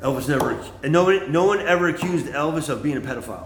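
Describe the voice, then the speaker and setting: A man speaks with ordinary pitch variation at a moderate pace, while noticeable background noise and audible room echo fill the recording. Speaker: livestreamer, former bartender and comic. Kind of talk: casual monologue livestream. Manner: loud; rambling, halting with fillers.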